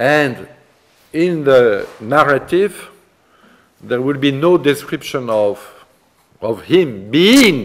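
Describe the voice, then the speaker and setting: A man speaks with a French accent at a very slow pace. The background is quiet. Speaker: art history professor. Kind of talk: lecture. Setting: seminar room with students. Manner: halting, hesitant with fillers. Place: classroom.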